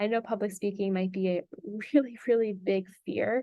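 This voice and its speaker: With an American accent and a normal speaking voice, a woman speaks at a moderate pace and medium pitch, with ordinary pitch variation. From US, South Florida. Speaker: public speaking and branding coach. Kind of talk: workshop lecture.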